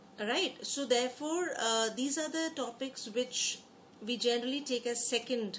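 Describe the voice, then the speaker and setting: A woman speaks with ordinary pitch variation over noticeable background noise and audible room echo. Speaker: exam prep teacher. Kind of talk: online lecture. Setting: online class. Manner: fast.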